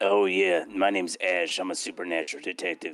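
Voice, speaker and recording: A put-on character voice from a man, raspy and very deep, delivered at a fairly quick pace. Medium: game stream. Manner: gruff, indignant, swears casually.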